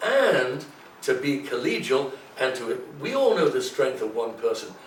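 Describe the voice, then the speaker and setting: Noticeable background noise and audible room echo fill the recording. The speaking is fairly slow. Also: man. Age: 70s. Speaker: political candidate. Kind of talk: campaign pitch in interview. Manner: animated.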